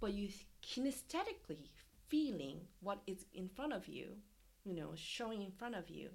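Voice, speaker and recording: A woman at a medium pitch and moderate pace, with very wide pitch swings. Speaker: dancer and performance artist. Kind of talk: casual interview conversation. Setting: video call.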